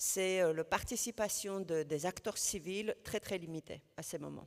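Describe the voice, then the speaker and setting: A woman with a non-native accent speaks at a fairly slow pace and a fairly low pitch. The recording is very clean, with a silent background. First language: not French (speaking French). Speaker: housing network representative. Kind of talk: panel discussion. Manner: halting, many hesitations.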